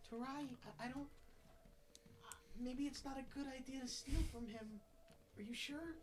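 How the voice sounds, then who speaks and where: In a put-on character voice, someone speaks high at a moderate pace with long, frequent pauses over clear background noise. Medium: actual play. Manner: cautious, gently advising.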